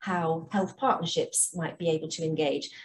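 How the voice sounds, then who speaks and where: A woman speaks at a moderate pace with a somewhat breathy voice. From England. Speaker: health charity programme director. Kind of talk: conference presentation.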